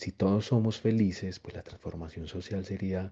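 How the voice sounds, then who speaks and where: Speaking at a moderate pace, a man has a fairly low voice with a dark, mellow tone and a somewhat breathy quality. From Colombia, Antioquia (Copacabana near Medellín). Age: young. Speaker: education entrepreneur. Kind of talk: interview monologue. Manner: expressive.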